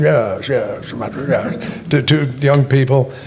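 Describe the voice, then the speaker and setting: A man's medium-pitched voice comes through with audible room echo and noticeable background noise. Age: 80s+. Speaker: retired radio newsman and writer. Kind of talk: on-stage interview, casual reminiscing. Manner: halting, repeating words.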